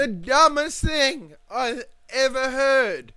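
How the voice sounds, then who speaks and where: A man with an Australian accent speaks in an extremely high pitch, his voice raised and projected with a bright, sharp tone. He goes at a very slow pace with ordinary pitch variation. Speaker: gamer. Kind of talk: gameplay commentary. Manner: casual, ranting.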